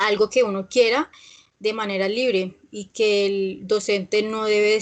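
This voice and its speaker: In a medium pitch and a monotone, flat intonation, a woman speaks at a fairly slow pace. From Colombia, Villavicencio (Meta). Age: 20s. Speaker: English teacher. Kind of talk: online class. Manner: hesitant, with fillers.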